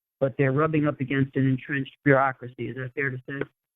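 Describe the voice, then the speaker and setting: This man speaks with an American accent. His pitch sits fairly high. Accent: New York accent, occasional. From New York. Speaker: radio host. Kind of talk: radio interview. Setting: on location near the UN. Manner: halting, many fillers.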